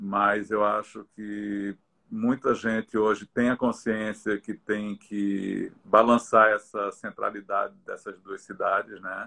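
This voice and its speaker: A man's fairly low, bright, sharp voice, monotone and flat, at a very slow pace, with a dry, close sound and no echo. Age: 60s. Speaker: visual artist. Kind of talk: interview in a live stream. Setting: live video stream. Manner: halting, many repetitions.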